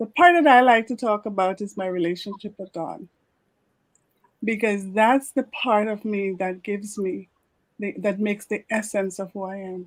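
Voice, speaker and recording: Loudness swings widely as a woman talks at a medium pitch in an unremarkable speaking voice. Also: ordinary pitch variation, moderate pace. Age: 60s. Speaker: leadership coach. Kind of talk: podcast interview.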